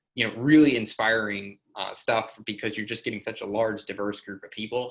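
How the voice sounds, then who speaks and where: Speaking at a fairly quick pace, a man uses a fairly low pitch. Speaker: software company presenter. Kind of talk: webinar presentation. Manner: fast; casual, filler-heavy.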